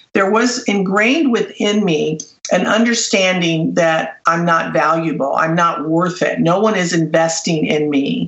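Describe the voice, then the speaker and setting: A woman with an American accent speaks in a fairly low pitch at a fairly slow pace. Noticeable background noise runs underneath. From Los Angeles, US. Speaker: business coach and author. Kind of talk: interview. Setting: radio show.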